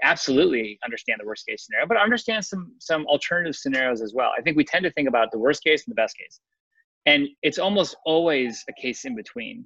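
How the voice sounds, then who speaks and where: With an American accent, a man talks at a very fast pace in a bright, sharp tone, his fairly high pitch swinging very widely. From US Midwest, Chicago. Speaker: nonprofit founder and navy veteran. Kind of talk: casual interview. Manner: halting, many fillers and repeats.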